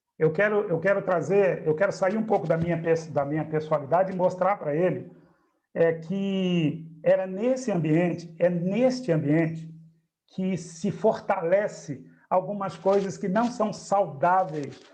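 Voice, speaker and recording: A man speaks at a fairly slow pace in a high voice. His tone is dark and mellow. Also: ordinary pitch variation. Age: 60s. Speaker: spiritist study group leader. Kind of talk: group discussion.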